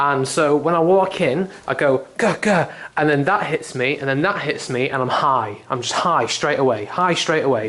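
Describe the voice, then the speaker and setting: Fairly high-pitched man with a British accent, ordinary pitch variation, noticeable background noise. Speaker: vlogger. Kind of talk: casual video tour. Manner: fast.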